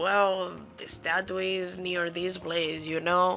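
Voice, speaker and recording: A woman with a Spanish accent speaks at a fairly low pitch. Her tone is animated, bright and sharp. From Spain. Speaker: YouTuber. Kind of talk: casual storytelling vlog. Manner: casual, animated.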